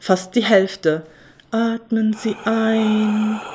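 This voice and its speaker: A woman is speaking. Her pitch is medium. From Germany. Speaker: spoken-word essayist. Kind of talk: spoken-word monologue. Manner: ironic, sarcastic delivery.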